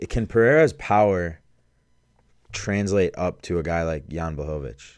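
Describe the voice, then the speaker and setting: A man with an American accent at a moderate pace, quiet background. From Chicago suburbs. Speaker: podcast co-host. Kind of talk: casual chat. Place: studio. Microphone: studio mic.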